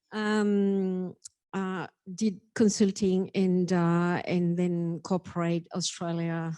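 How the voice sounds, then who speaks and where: In a French accent, a woman speaks at a very slow pace in a dark, mellow tone with fairly even intonation, recorded very cleanly against a silent background. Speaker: data and analytics executive. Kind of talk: panel introduction. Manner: halting.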